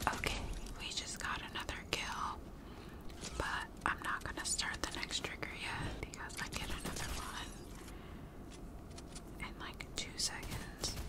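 Long, frequent pauses break up speech delivered at a fairly slow pace over loud background noise. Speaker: gaming content creator. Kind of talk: casual ASMR gaming talk to camera. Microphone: studio mic.

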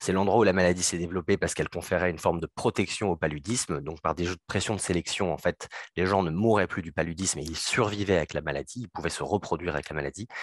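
A man speaks very fast in a very deep, low voice with ordinary pitch variation, the sound dry with no echo against a quiet background. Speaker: cardiologist. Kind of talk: conference presentation. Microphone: video call.

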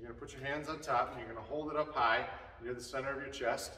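A man speaks with audible room echo. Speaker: hitting coach. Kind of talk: tutorial. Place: workshop.

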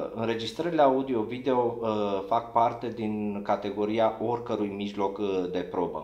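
A man's fairly even intonation, with audible room echo over a quiet background. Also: fairly slow pace. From Romania. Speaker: lawyer. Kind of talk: formal legal interview. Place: office.

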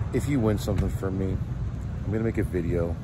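A man speaks through loud background noise. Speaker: vendor vlogger. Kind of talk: casual vlog chat. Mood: earnest, slightly annoyed. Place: street. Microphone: phone near.

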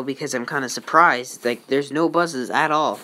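Noticeable background noise sits behind a woman's voice. Her pitch is very deep and low, with ordinary variation. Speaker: transit fan vlogger. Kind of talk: casual vlog. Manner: casual, hesitant.

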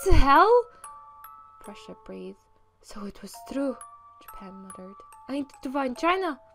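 Over music in the background, a woman speaks at a moderate pace with lively intonation. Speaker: fanfiction reader. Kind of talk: read story. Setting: home studio microphone. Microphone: studio mic.

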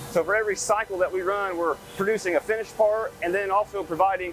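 With faint music in the background and a dry sound with no echo, a high-pitched man talks very fast with fairly even intonation. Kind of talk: interview answer. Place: factory. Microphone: lapel.

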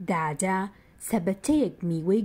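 A woman speaks in a dark, mellow tone. Her pace is fairly slow and her intonation lively. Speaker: narrator of a Kurdish textbook. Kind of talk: reading aloud. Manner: clear.

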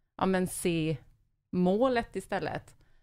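A woman's voice is heard. The recording is very clean, with a silent background. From Småland, Sweden. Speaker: podcast host. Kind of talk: casual interview.

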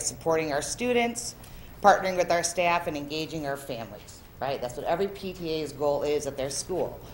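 A woman with a fairly low pitch talks at a moderate pace in an ordinary speaking voice, with light background noise behind her. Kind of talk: presentation. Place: meeting room. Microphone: podium.

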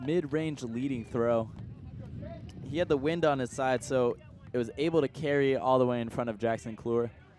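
Noticeable background noise behind a man at medium pitch. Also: ordinary pitch variation, moderate pace. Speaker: sports commentator. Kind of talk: live sports commentary.

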